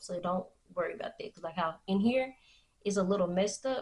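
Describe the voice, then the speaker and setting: A woman speaks with a somewhat breathy voice and ordinary pitch variation. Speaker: beauty vlogger. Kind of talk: tutorial. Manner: halting; casual.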